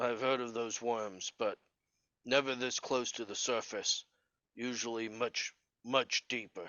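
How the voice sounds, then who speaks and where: Using a put-on character voice, a man speaks in a raspy, medium-pitched, monotone delivery at a fairly slow pace, with long, frequent pauses. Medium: actual play. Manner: calm, matter-of-fact.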